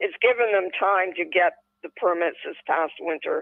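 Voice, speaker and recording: A woman talks with a normal speaking voice at a medium pitch. Her pace is fairly slow, but her intonation is lively. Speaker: podcast co-host. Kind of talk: casual chat.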